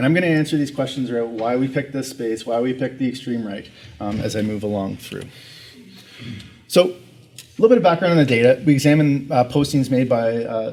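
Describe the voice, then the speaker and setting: A man's normal speaking voice with a Canadian accent, fairly quick in pace, with ordinary pitch variation. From Canada. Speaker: researcher. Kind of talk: conference presentation.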